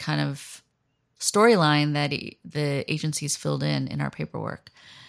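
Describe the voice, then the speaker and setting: In a very clean recording with a silent background, a woman speaks at a moderate pace with an American accent. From US. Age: 40s. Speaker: journalist. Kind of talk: interview.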